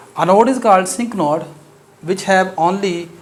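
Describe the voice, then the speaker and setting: A man with a Pakistani accent speaks at a high pitch, with audible room echo. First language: Urdu. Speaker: mathematics teacher. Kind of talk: lecture. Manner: hesitant, many fillers.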